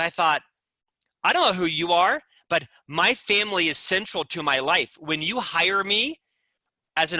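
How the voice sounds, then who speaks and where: In a dry, close sound with no echo, a man with a high pitch uses a raised, projected voice with a bright, sharp, animated tone, ordinary pitch variation and a moderate pace. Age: 50s. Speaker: business author and executive. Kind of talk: podcast interview.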